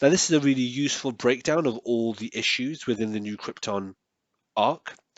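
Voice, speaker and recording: A man talks at medium pitch with lively intonation. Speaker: comics YouTuber. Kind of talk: tutorial. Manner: fast.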